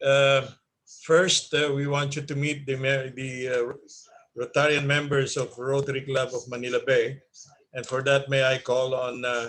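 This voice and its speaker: In a Filipino accent, a man speaks fairly slowly with a fairly high pitch. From Philippines. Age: 60s. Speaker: club meeting host. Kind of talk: virtual club meeting. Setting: video call.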